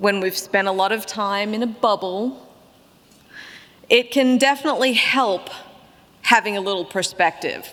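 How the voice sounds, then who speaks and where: Amid noticeable background noise, a woman at medium pitch and ordinary pitch variation speaks with long, frequent pauses. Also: moderate pace. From Australia (Melbourne). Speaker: keynote speaker, barbecue writer. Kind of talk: keynote speech.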